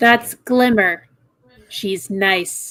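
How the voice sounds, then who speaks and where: A female-sounding voice at medium pitch performs a put-on character voice. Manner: scolding, motherly.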